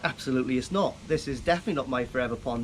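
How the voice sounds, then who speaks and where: A man with a Welsh accent and ordinary pitch variation. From Wales, Llanelli. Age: 40s. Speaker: koi keeper, tattoo artist. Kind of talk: interview. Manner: hesitant, many fillers.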